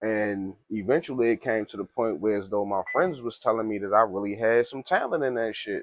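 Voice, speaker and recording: Over a quiet background with a dry, close sound and no echo, a man speaks at a fairly quick pace with hardly any pauses, a medium pitch and ordinary pitch variation. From Baltimore, Maryland (East and West Baltimore). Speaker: rapper. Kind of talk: casual chat. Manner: relaxed, slangy.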